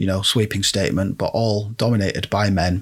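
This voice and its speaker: A man with a British accent speaks at a fairly low pitch with fairly even intonation. The recording is very clean, with a silent background. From Britain. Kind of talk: solo commentary podcast. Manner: casual, rambling with fillers.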